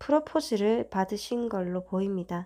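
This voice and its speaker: With a dark, mellow tone and fairly high pitch, a woman talks at a fairly slow pace with ordinary pitch variation on a very clean recording with a silent background. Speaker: tarot reader. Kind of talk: tarot reading video. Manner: calm, gentle.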